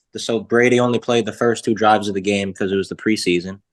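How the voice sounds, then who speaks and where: A man with a Boston accent and a fairly low pitch talks at a fairly quick pace with fairly even intonation, in a dry, close recording with no echo and a quiet background. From Boston area. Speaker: sports podcast guest, former equipment staffer. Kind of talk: casual chat.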